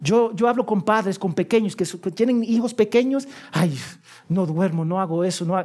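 The man's voice is high in pitch with ordinary pitch variation. He moves at a moderate pace. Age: 40s. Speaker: pastor. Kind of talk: sermon.

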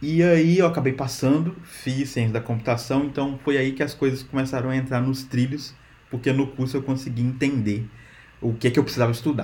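Speaking at a fairly quick pace, a man with a somewhat breathy, dark, mellow tone keeps his medium pitch fairly even. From Brazil, Minas Gerais (rural). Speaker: software engineer. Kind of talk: casual interview chat.

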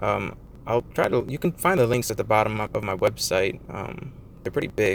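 Fairly quick male speech in an American accent, noticeable background noise underneath. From Michigan. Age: 20s. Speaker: podcast host, cryptocurrency investor. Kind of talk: casual monologue. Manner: halting, many fillers.

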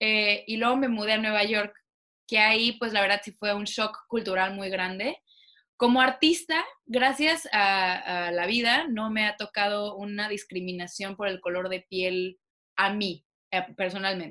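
Over a quiet background, a woman with a bright, sharp tone and medium pitch speaks at a fairly slow pace with ordinary pitch variation. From Mexico, Cancún. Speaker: actress. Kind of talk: casual interview.

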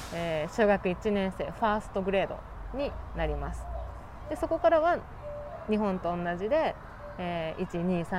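A woman speaks at a fairly slow pace with long, frequent pauses. Noticeable background noise runs underneath. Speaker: podcast host. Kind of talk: casual chat. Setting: outdoors.

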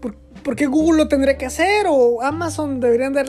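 This woman speaks with lively intonation. Her pace is moderate. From Mexico, Querétaro. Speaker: podcaster. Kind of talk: solo monologue podcast. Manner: halting, many fillers and repetitions.

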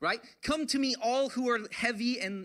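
A raised, projected voice with a bright, sharp tone at a moderate pace. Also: man. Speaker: pastor. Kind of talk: sermon.

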